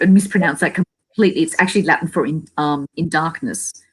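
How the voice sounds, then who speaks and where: Ordinary pitch variation from a woman with an Australian accent. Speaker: paranormal investigator. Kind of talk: casual chat. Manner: halting, many fillers and repeats.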